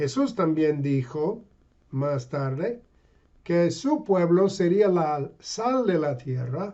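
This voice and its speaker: With a non-native accent, a man talks at a very slow pace in a high voice with lively intonation. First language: English (speaking Spanish). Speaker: pastor and missionary. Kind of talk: sermon. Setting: online video. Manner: halting.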